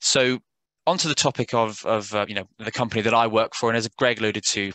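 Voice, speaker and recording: A speaker with a British accent talks at a fairly quick pace in a bright, sharp tone. The sound is dry and close with no echo, over a quiet background. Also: man. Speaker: software sales executive. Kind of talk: webinar presentation. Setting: online webinar. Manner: hesitant, many fillers.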